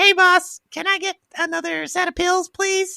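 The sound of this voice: The voice is a put-on character. It reaches an extremely high pitch. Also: moderate pace.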